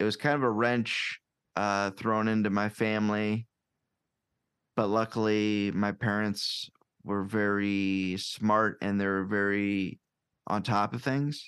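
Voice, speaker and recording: A man's fairly low voice in a Midwestern US accent, monotone and flat, very even in loudness, at a very slow pace. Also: quiet background. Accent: US Midwest. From Iowa, Quad Cities. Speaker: podcaster and stand-up comedian. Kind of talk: casual chat.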